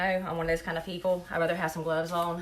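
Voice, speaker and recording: Bright and sharp in tone, a woman of medium pitch talks very fast in a Southern US accent. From North Carolina. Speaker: food blogger. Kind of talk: live cooking demonstration. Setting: live stream. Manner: casual, chatty.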